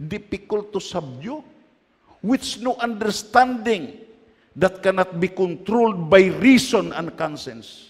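A man's high voice with lively intonation, at a very slow pace. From Philippines. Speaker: preacher. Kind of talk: sermon. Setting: church. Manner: animated, exhorting the congregation with calls to say amen; loud, emphatic, switching between Filipino dialect and English. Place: church.

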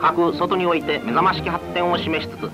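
A high-pitched male voice at a fairly quick pace, with clear music playing in the background. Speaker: newsreel narrator. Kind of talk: 1940s wartime newsreel narration. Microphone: old recording.

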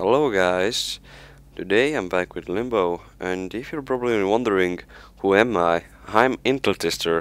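In an Estonian accent, a man talks at a moderate pace. His pitch is fairly low, with ordinary variation. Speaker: gaming youtuber. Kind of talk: casual gameplay commentary. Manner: halting, hesitant with many fillers.

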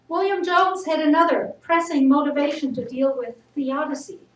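With audible room echo and light background noise, a woman speaks in a high pitch. Her pace is fairly slow. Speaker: speaker. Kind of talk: sermon. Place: church. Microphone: camera far.

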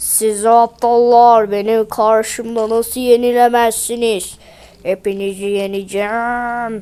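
A woman shouts in a put-on character voice at a fairly high pitch. Her intonation stays monotone and flat, and her pace is fairly slow. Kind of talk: theatrical, acted. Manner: shouting, threatening.

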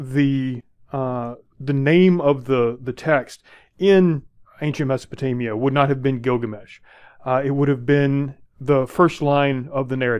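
At a fairly slow pace, a man talks with ordinary pitch variation over a quiet background. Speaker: university instructor. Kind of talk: lecture. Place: home room. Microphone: headset.

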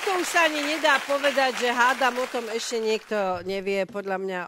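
Over a silent background in a very clean recording, a woman speaks fairly slowly with lively intonation in a plain, everyday voice. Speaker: TV talk show host. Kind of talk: TV talk show interview. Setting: TV studio with audience.

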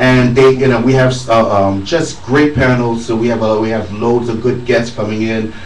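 Speaking amid light background noise, a man's voice carries audible room echo. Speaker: convention organizer; radio guest. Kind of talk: casual radio chat; interview answer. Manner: upbeat, animated. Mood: pleased, grateful. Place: studio.

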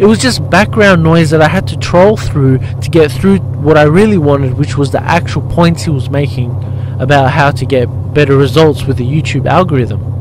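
A man at a moderate pace with ordinary pitch variation, a dry sound with no echo, and noticeable background noise. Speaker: motorbike vlogger, life coach. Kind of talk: casual vlog commentary. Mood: mildly critical, reflective. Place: motorbike.

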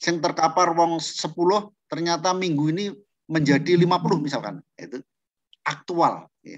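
Fairly high in pitch, a man speaks with fairly even intonation at a moderate pace. The background is quiet. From Central Java. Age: 60s. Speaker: trainer or lecturer. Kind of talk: lecture. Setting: video call. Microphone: video call.

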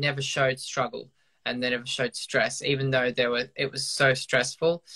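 A voice with an Australian accent is heard against a quiet background. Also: man. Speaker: professional dancer. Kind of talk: casual video chat interview. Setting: video call. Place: home room. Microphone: video call.

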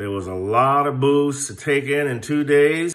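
The background stays quiet. At a fairly slow pace, a man speaks with ordinary pitch variation. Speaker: airgun channel host. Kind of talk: casual vlog chat. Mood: relaxed, a bit defensive. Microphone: phone near.

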